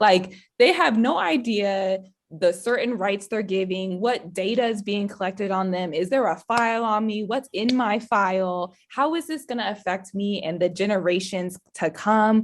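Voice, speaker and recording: A woman speaks in a normal speaking voice at medium pitch. Her pace is moderate and her pitch varies in an ordinary way. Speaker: public speaker. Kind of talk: hosting a video call conversation.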